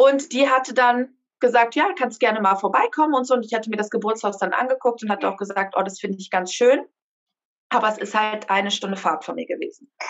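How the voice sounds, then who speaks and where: Fairly quick delivery in an unremarkable speaking voice, the pitch varying in an ordinary way. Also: woman, fairly high pitch for a woman. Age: 30s. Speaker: mother sharing birth story. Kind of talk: interview testimony.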